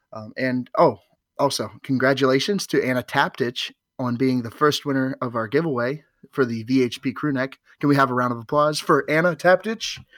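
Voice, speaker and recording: In a very clean recording with a silent background, a man with a normal speaking voice talks at medium pitch, the sound dry and close with no echo. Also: ordinary pitch variation, moderate pace. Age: 20s. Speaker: podcast host. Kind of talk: casual chat.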